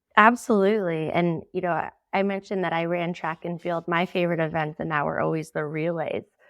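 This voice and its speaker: In a normal speaking voice with an American accent, a woman talks at a fairly quick pace with hardly any pauses, her pitch fairly low and her intonation fairly even, against a quiet background. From US Northeast, Boston area. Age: 30s. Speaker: founder of women's sports storytelling platform. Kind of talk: podcast interview.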